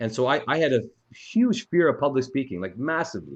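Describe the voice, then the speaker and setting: A man talks at a medium pitch. Nothing disturbs the quiet background. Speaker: eye surgeon hosting Q&A with fellows. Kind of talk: casual Q&A discussion. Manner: fast; halting, slightly slurred.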